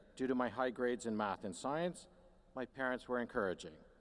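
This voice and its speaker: A man is speaking. He has a Canadian accent. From Canada. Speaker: university administrator, commencement speaker. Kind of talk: commencement address. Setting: stage with audience.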